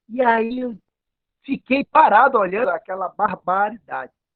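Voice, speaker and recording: Lively intonation from a man speaking at a very slow pace. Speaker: capoeira teacher and pastor. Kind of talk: life story in a talking circle. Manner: halting.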